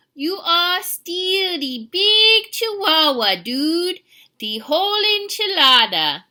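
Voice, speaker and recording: A put-on character voice at an extremely high pitch, delivered at a very slow pace. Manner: playfully self-teasing.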